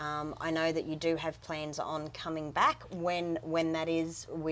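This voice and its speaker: Speaking at a fairly slow pace, a woman with an Australian accent uses a fairly low pitch. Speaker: interviewer, music promoter. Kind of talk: interview.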